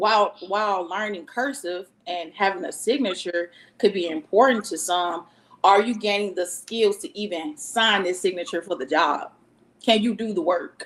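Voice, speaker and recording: A woman with a normal speaking voice talks at a moderate pace, medium pitch and ordinary pitch variation. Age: 30s. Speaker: school educator. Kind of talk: panel discussion.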